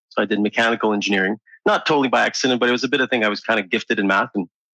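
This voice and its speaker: Speaking very fast with a French Canadian accent, a man uses a medium pitch, a bright, sharp tone and fairly even intonation. The sound is dry and close with no echo, against a quiet background. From Quebec, Montreal. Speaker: engineer and entrepreneur. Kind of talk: interview.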